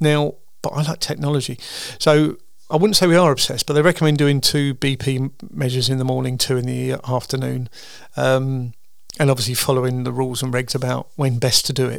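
A man with a medium-pitched voice and vocal fry talks at a fairly quick pace with little pitch movement.

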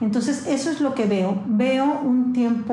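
At a very slow pace, a woman speaks amid audible room echo and noticeable background noise. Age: 50s. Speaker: media company founder and CEO. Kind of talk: interview.

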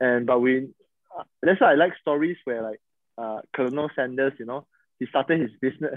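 Medium in pitch, this man's voice holds a fairly even intonation. He speaks at a fairly quick pace. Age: 30s. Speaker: podcast host, pastor's son. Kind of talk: casual chat. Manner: halting.

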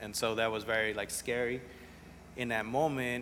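A man with a Spanish accent and monotone, flat intonation. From New Orleans, from age 10; early childhood in Central America and Montreal. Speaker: entrepreneur, restaurant and school founder. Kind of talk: casual interview chat. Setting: coffee shop bookstore.

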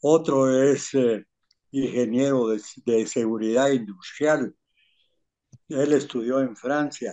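Very slow delivery with long, frequent pauses and fairly even intonation. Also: man, medium pitch for a man. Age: 80s+. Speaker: retired civil engineer. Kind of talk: interview. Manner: halting.

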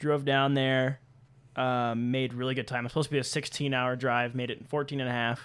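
Delivered at a fairly quick pace, the speech keeps a monotone, flat intonation. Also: man, medium pitch for a man. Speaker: podcast host. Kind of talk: casual chat.

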